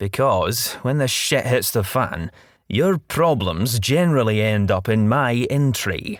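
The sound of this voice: The intonation is lively, delivered in an unforced reading voice.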